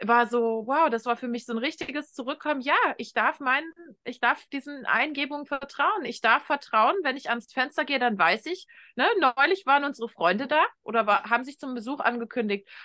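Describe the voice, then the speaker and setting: A woman's high, bright and sharp voice, raised and projected with lively intonation, against a quiet background. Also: moderate pace. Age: 30s. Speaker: shamanic coach and mentor. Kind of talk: interview conversation.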